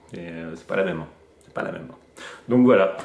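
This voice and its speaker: A man talks at a very fast pace. The recording has noticeable background noise and audible room echo. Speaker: youth association director. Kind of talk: casual interview.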